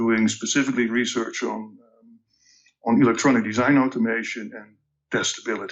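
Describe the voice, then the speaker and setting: This man speaks fairly quickly at a medium pitch, in a flat monotone. His loudness swings widely. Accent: Dutch. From Netherlands, Amsterdam. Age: 60s. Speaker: tech company executive. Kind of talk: podcast interview. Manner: halting, many fillers.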